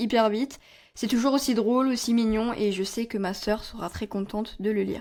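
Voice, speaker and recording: A woman's fairly high-pitched voice at a moderate pace, with fairly even intonation. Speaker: book podcaster. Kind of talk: casual book review monologue. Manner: casual, conversational with hesitations.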